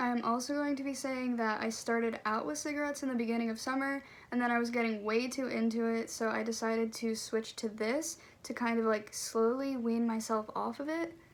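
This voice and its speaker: Speaking at a fairly quick pace, a woman has an unremarkable speaking voice, a fairly high pitch and fairly even intonation. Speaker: vlogger. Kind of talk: casual vlog chat. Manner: casual, lots of 'like'.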